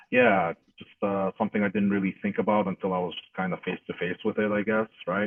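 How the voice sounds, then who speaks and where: At a fairly quick pace, the speaker talks with a non-native accent. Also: man. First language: not English. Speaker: interviewee recounting life experience. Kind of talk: interview testimony. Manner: hesitant, many fillers.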